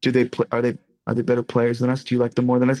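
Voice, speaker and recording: In an American accent, a man speaks with a dry, close sound with no echo. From US Northeast, Boston. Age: 30s. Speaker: rock band lead singer. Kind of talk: casual interview.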